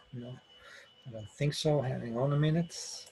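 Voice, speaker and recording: Speaking with a Dutch accent, a man sounds somewhat breathy. His pace is fairly slow and his intonation fairly even. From Netherlands, Amsterdam. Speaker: IT architect giving a conference talk. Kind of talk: technical presentation. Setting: online session from home office. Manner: halting, many fillers.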